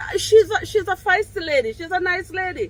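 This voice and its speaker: Loud and extremely high-pitched, a woman speaks with a Jamaican accent. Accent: Jamaican English with patois features. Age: 50s. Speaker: vlogger. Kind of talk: casual vlog monologue. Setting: outdoors on her deck.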